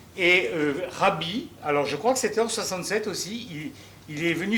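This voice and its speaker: There is audible room echo and noticeable background noise as a man talks at a fairly slow pace. His high-pitched voice has lively intonation. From Alsace, Strasbourg. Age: 70s. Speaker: audience member asking a question. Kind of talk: audience question at a public debate. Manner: hesitant, many fillers.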